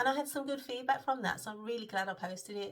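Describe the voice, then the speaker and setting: Her somewhat breathy voice carries lively intonation as the woman speaks. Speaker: web designer vlogger. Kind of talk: casual vlog. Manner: hesitant, many filler ums.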